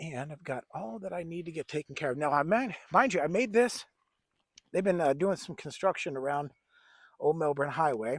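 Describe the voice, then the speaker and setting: A man's ordinary speaking voice, fairly high in pitch, with lively intonation, big swings in loudness and a moderate pace, in a very clean recording with a silent background. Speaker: bushcraft vlogger. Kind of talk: casual outdoor vlog. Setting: outdoors at backyard camp.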